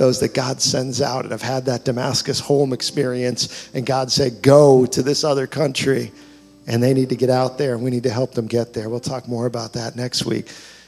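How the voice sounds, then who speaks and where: A man speaks at a moderate pace in a medium pitch, his intonation flat and monotone, with music playing behind him. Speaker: pastor. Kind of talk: sermon introduction and prayer. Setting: church.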